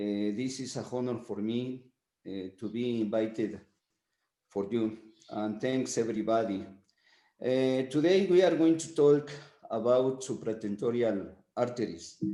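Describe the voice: A man speaks at a fairly slow pace in a medium pitch, his tone dark and mellow. His pitch varies in an ordinary way, and the room echo is audible.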